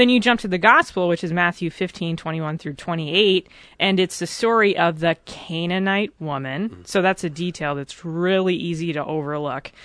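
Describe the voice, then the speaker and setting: An unremarkable speaking voice belongs to a woman with fairly low pitch, ordinary pitch variation and a moderate pace, with hardly any pauses. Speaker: faith formation director. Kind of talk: interview discussion. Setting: studio.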